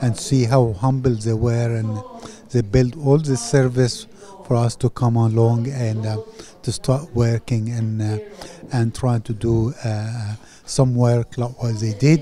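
A man talks at a fairly slow pace with fairly even intonation. The sound is dry with no echo, over light background noise. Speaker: parish priest. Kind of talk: interview answer. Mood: grateful, warm. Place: hall. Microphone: handheld.

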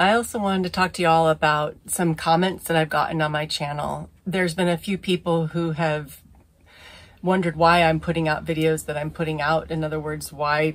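A woman's very deep, low voice, fairly quick and flat in a monotone. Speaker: sailing vlogger. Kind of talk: casual vlog chat. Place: boat. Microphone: phone near.

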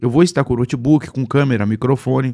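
An animated tone comes through with a Brazilian accent. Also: man, very clean recording, silent background. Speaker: pastor and online preacher. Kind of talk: live-stream Q&A, reading viewer comments. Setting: live stream.

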